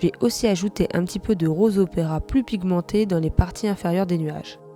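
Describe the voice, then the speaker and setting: With music in the background, a woman talks at a medium pitch with ordinary pitch variation. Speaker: watercolor artist. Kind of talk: tutorial voice-over.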